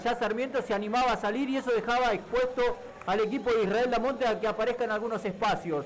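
A man talks at a fairly quick pace with an extremely high pitch and fairly even intonation. Noticeable background noise is present. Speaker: football commentator. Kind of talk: sports commentary, match analysis recap. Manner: fluent, formal.

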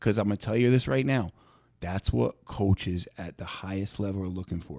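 A man speaks with an American accent in a dark, mellow tone. The sound is dry and close, with no echo. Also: very clean recording, silent background. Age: 30s. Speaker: strength and conditioning coach. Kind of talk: casual interview.

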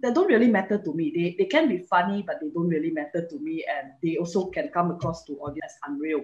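Somewhat breathy, a woman speaks with a Malaysian accent. She goes at a very fast pace with very wide pitch swings. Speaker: comedian. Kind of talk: casual chat.

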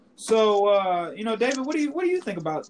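A man is speaking. His pace is fairly quick. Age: 20s. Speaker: sports podcast host. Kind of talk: casual chat.

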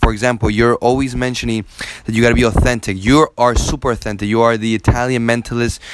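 Over noticeable background noise, a man with a medium pitch speaks in a monotone, flat intonation. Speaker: podcast host and mentalist. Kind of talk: interview.

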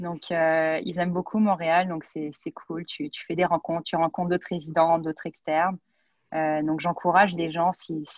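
Over a quiet background, a woman with a fairly low voice speaks at a moderate pace, the sound dry and close with no echo. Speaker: neurology resident. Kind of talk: interview. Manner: hesitant with frequent repetitions.

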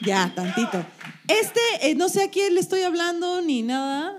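A woman's extremely high voice with very wide pitch swings, at a fairly slow pace with long, frequent pauses, over noticeable background noise. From Sonora, Mexico. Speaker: comedian, podcast co-host. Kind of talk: live comedy podcast chat. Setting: live show with audience.

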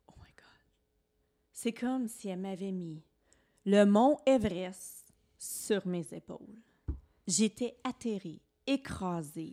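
A woman speaks at a very slow pace. She leaves long, frequent pauses, and her loudness swings widely. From Eastern Ontario, Franco-Ontarian. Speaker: podcast co-host, former teacher. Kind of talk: personal testimony in casual chat. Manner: expressive, laughs easily.

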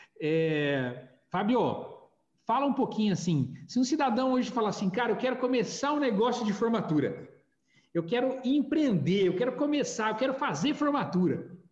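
The man's high voice has lively intonation and very even loudness, moving at a moderate pace with audible room echo. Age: 40s. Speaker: podcast host, graduation photography businessman. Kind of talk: casual chat.

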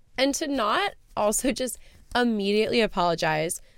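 A woman speaks at medium pitch in an animated tone. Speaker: podcast co-host. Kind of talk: casual chat.

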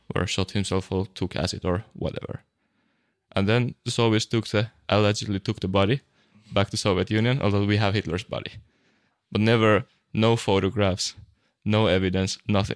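A man with a Finnish accent speaks at a fairly quick pace with long, frequent pauses and fairly even intonation, in a very clean recording with a silent background and a dry, close sound with no echo. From Finland. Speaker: podcast co-host. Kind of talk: casual chat.

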